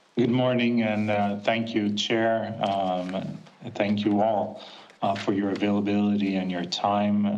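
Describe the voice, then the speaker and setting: Against noticeable background noise and audible room echo, a man speaks fairly slowly in a fairly low, monotone, flat voice. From Portugal. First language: Portuguese. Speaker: physician and former politician. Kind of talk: formal opening statement. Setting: video call.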